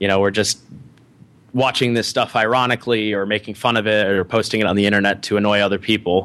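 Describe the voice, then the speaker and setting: The speaker has an American accent and talks at a very fast pace with monotone, flat intonation. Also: man. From US Midwest (Ohio). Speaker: software developer. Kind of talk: casual interview. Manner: frequent filler words.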